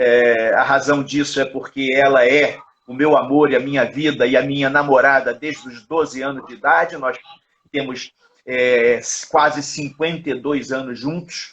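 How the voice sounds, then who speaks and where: A man talks at a fairly slow pace in a fairly high pitch with monotone, flat intonation. His loudness swings widely. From Rio de Janeiro, Brazil. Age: 60s. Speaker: judo coach and professor. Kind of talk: interview, life story. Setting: Instagram live video call.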